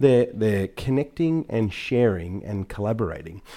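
A man with an Australian accent, fairly low in pitch and dark and mellow in tone, with lively intonation at a moderate pace, in a very clean recording with a silent background. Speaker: tech business executive. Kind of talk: interview.

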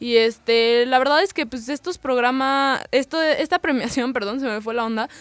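With hardly any pauses, a woman speaks in a high pitch and ordinary pitch variation. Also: moderate pace. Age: 20s. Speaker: college radio host. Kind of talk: casual chat.

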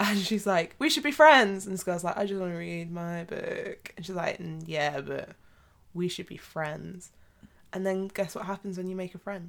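Someone with a British accent speaks at a moderate pace, with big swings in loudness. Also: woman, medium pitch for a woman, ordinary pitch variation. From Britain. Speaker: podcast co-host. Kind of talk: casual chat. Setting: home recording room.

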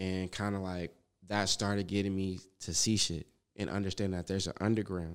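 A man with an American accent and a very deep, low pitch, monotone and flat, at a fairly quick pace. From Los Angeles, South Central (Manchester area). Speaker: rapper. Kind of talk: casual interview chat.

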